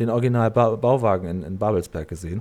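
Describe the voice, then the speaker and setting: This very clean recording has a silent background. A man with an ordinary speaking voice talks at a fairly quick pace with lively intonation. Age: 40s. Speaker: podcast host. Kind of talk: casual chat.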